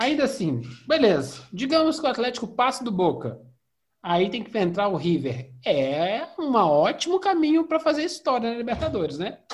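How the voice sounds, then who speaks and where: Pitch swings very widely as the voice moves along at a moderate speed. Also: man, extremely high pitch for a man. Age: 40s. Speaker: football podcast host. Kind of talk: casual chat. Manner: animated.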